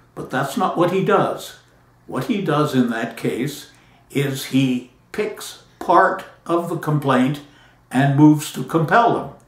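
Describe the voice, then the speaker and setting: Very slowly, a man speaks at a fairly high pitch with lively intonation. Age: 80s+. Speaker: patent attorney. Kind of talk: talk to camera.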